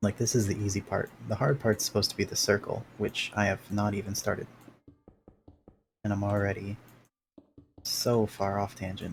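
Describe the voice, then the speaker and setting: Over music in the background, a man with a fairly low pitch talks quietly in a monotone, flat way at a moderate pace, with long, frequent pauses. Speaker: gaming streamer. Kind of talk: live gameplay commentary. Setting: home live stream at night. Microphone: noise gate cutting out audio.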